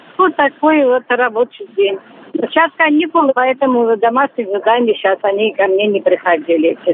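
A woman's high voice with very wide pitch swings at a moderate pace, over noticeable background noise. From Belarus. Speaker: street cleaner, retired teacher. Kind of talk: interview.

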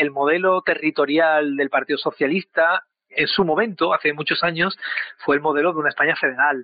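A man's plain, everyday voice, fairly high in pitch, at a fairly quick pace with fairly even intonation and very even loudness. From Spain. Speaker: political analyst. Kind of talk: interview.

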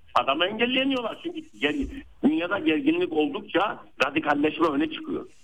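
Very wide pitch swings in a high male voice. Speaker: political science professor. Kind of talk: phone interview. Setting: phone call. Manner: halting, many fillers.

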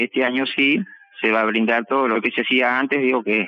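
The voice belongs to a man with a medium pitch. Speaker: farmer. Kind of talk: interview testimony. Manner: halting.

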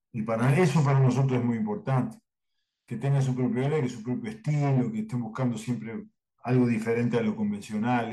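A man with a medium-pitched voice speaks at a moderate pace, his dark, mellow tone somewhat breathy and his intonation lively. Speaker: cartoonist and drawing teacher. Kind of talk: interview.

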